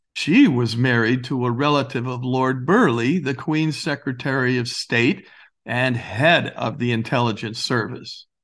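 Speaking in an unremarkable speaking voice, a man at medium pitch moves at a fairly slow pace with ordinary pitch variation. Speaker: director, playwright and author. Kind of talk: history documentary narration, explanatory. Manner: measured, authoritative; clear, didactic storytelling.

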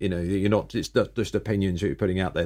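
A man with a British accent and a very deep, low pitch, on a very clean recording with a silent background. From Britain. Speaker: podcast host. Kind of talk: interview.

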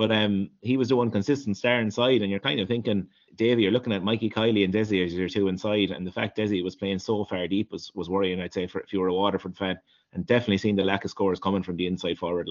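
Talking at a very fast pace, a man with an Irish accent keeps a fairly low pitch and fairly even intonation. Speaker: hurling pundit. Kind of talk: casual sports chat.

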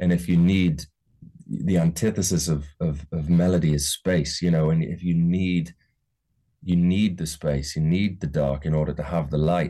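This man has a very deep, low pitch and a dark, mellow tone. His intonation stays fairly even. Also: moderate pace. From Newcastle area, northeast England. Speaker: musician and songwriter. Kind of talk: casual interview chat. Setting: his music studio.

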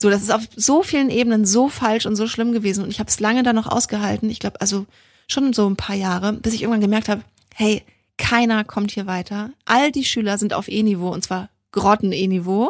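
A woman with a normal speaking voice talks at a fairly quick pace and a fairly high pitch, with fairly even intonation. The recording is very clean, with a silent background. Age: 30s. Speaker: equestrian podcast co-host, rider. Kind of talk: casual chat.

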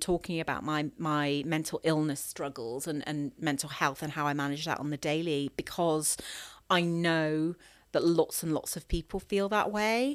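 Over a silent background on a very clean recording, a woman speaks in a normal speaking voice at a moderate pace. Her pitch is fairly low, with ordinary variation. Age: 40s. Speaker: ultra runner and run coach. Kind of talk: interview.

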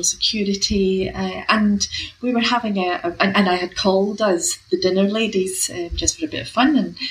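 A woman's voice amid noticeable background noise. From UK. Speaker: professor of health equity. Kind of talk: interview. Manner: hesitant, filler words.

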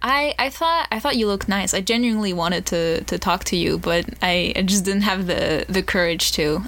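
Lively intonation from a woman at a moderate pace. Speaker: college student podcast co-host. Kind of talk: casual chat. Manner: halting.

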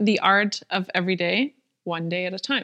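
A woman talks at a moderate pace in a German accent, her tone bright and sharp. The sound is dry and close with no echo, over a quiet background. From Germany. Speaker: podcast co-host, content strategist. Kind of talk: casual conversation, podcast intro.

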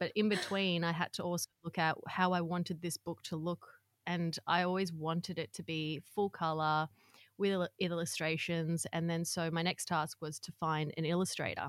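An ordinary speaking voice from a woman, fairly low in pitch, with fairly even intonation and a moderate pace, in a dry, close sound with no echo and a very clean recording against a silent background. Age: 30s. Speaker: author and content creator. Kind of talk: casual chat.

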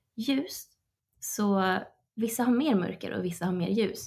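At a fairly slow pace, a woman speaks in a medium pitch, somewhat breathy, with ordinary pitch variation. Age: 30s. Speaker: life coach. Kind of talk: casual chat. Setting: remote call.

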